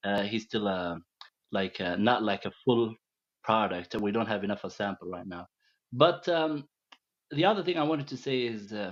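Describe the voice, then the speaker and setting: A man with a Middle Eastern accent, medium pitch and lively intonation at a moderate pace. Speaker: caller. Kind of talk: call-in chat. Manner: halting.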